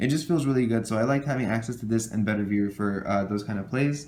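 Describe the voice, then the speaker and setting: Medium male pitch at a very fast clip, intonation fairly even. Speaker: trading card game youtuber. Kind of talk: tutorial.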